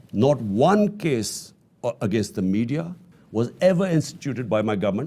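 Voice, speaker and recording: A man talks at a moderate pace with a dark, mellow tone and very wide pitch swings. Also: medium pitch for a man. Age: 70s. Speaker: politician, former prime minister. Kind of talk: interview answer.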